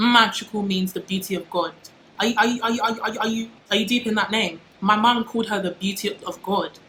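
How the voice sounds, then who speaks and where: Amid noticeable background noise, a woman with a fairly high pitch talks at a very fast pace. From UK. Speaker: YouTuber. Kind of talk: casual vlog monologue. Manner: animated.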